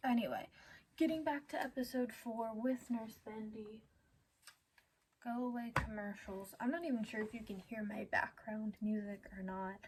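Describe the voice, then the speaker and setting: A soft-spoken voice at a moderate pace. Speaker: animation commentary youtuber. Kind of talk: casual video commentary.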